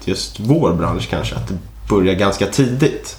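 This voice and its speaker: A man's fairly low voice at a fairly slow pace, with noticeable background noise and audible room echo. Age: 20s. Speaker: podcast co-host, junior software developer. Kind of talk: casual chat.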